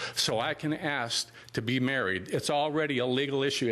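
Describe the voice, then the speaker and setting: In a plain, everyday voice, a man talks at a moderate pace with fairly high pitch and ordinary pitch variation. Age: 60s. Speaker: public commenter, military veteran. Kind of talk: public comment speech.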